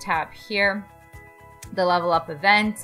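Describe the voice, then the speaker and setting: A woman speaks at a medium pitch in an upbeat, excited tone. Music plays in the background. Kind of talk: casual gaming commentary to camera.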